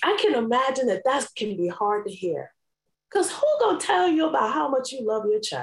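Speaking with an American accent at a fairly quick pace, a woman uses a high pitch with very wide pitch swings. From New York City. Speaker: life coach. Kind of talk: interview.

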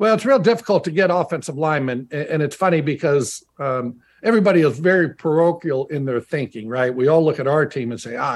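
Over a quiet background, a man with fairly high pitch talks in an unremarkable speaking voice. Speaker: former NFL player and radio analyst. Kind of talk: casual chat.

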